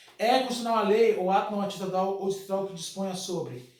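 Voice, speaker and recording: A man talks at a very fast pace with a high pitch and fairly even intonation. Audible room echo and noticeable background noise surround him. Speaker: law teacher. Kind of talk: lecture.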